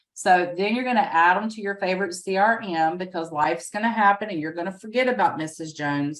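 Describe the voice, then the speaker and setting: This woman talks at a fairly quick pace with lively intonation. Her accent is Southern US. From US South, rural. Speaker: real estate agent and trainer. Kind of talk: training webinar. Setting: video call with screen share.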